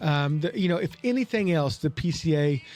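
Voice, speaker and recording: A man with an American accent and fairly high pitch, with music in the background. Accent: Oklahoma accent, noticeable to others. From Oklahoma, US (Tulsa). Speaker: cigar podcast host. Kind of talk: casual chat. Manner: animated.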